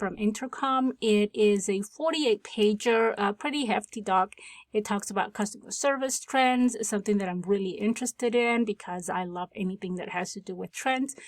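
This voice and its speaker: A woman with a non-native accent speaks at a fairly quick pace and a fairly high pitch, with ordinary pitch variation and hardly any pauses. The very clean recording has a silent background and a dry, close sound with no echo. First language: not English. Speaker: tech tutorial creator. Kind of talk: tutorial. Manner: casual, with filler words.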